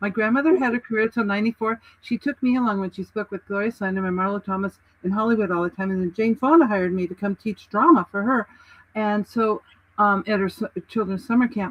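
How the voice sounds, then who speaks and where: A somewhat breathy woman talks at a very fast pace in an animated tone. Her pitch variation is ordinary. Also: medium pitch for a woman. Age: 70s. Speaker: writing and publishing coach, author. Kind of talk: casual interview chat.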